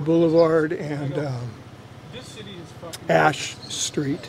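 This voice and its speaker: A man with an American accent speaks at a very slow pace and a fairly high pitch with fairly even intonation. Noticeable background noise runs behind him. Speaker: local old-timer from the area. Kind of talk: casual chat.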